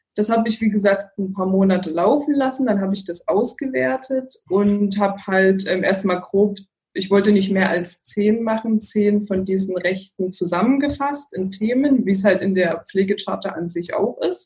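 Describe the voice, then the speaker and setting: A woman speaks in a plain, everyday voice at a medium pitch and moderate pace. Her pitch varies in an ordinary way, and she hardly pauses. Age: 30s. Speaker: geriatric nurse and care advisor. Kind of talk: interview.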